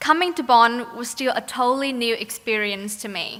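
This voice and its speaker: A woman speaks at a moderate pace in a Vietnamese accent. Her voice is high in pitch. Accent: Vietnamese accent, non-Australian. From Vietnam, Ho Chi Minh City. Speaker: graduating student, valedictorian. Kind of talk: graduation speech. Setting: stage with audience. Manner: formal.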